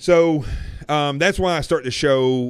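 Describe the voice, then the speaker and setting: With a Southern US accent, a man speaks using lively intonation. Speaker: talk show host. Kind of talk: live show monologue. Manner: casual, with fillers.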